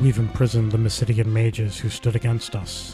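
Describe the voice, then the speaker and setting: A soft-spoken man at medium pitch and moderate pace, with music in the background. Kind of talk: reading a game's story and dialogue aloud. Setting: game sounds audible in the background. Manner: soft-spoken, calm.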